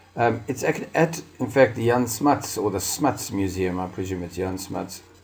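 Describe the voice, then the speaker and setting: Somewhat breathy, a man with a South African accent talks at a fairly quick pace with ordinary pitch variation. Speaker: crafter and video host. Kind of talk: casual narrated market tour. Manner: casual, hesitant with fillers.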